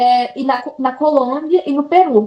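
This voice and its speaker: This woman has a high-pitched voice. Her pitch varies in an ordinary way. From Brazil, Bahia interior (Juazeiro). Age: 20s. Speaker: English teacher abroad. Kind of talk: interview. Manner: animated.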